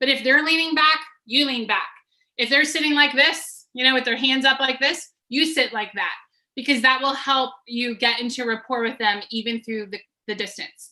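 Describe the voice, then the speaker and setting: Raising and projecting her voice, a woman speaks at a moderate pace with a high pitch, a bright, sharp tone and ordinary pitch variation. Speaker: business coach. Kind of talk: webinar presentation. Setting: video call.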